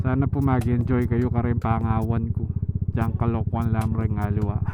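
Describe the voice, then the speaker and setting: A man's medium-pitched voice at a moderate pace, monotone and flat, with very even loudness, audible room echo and noticeable background noise. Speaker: motovlogger. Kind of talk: casual vlog talk while riding. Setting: riding a scooter outdoors. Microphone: helmet mic via intercom, sometimes muffled.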